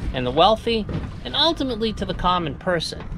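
Someone talks at a moderate pace over faint background noise. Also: woman.

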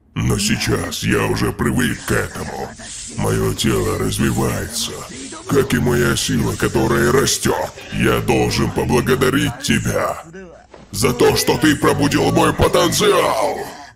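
A man's raspy, cartoonish character voice at a moderate pace, with clear background noise. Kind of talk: anime dub villain monologue. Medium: fan dub. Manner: arrogant, intense, analytical.

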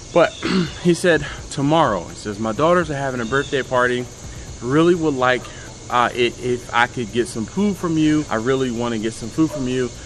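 A man's voice at a moderate pace with ordinary pitch variation and light background noise. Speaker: barbecue channel host. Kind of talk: casual vlog chat. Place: street.

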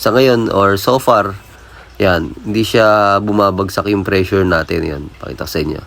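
A man's fairly low-pitched voice at a fairly slow pace, ordinary pitch variation, noticeable background noise. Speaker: plumber, DIY tutorial vlogger. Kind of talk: tutorial. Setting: on-site outdoors at a job. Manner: casual, halting with fillers.

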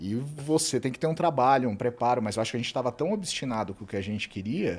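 The man talks at a very fast pace and medium pitch, with lively intonation. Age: 40s. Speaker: travel content creator, host's husband. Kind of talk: casual chat. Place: studio. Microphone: studio mic.

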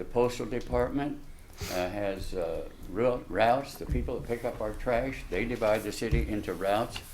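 A man with an American accent talks at a moderate pace, and audible room echo surrounds his voice. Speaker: local building contractor, public commenter. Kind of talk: public comment at city council meeting. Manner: halting, with false starts.

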